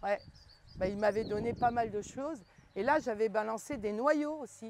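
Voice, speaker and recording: This woman has a normal speaking voice with a fairly high pitch. She speaks at a moderate pace with ordinary pitch variation. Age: 60s. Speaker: market gardener. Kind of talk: casual chat.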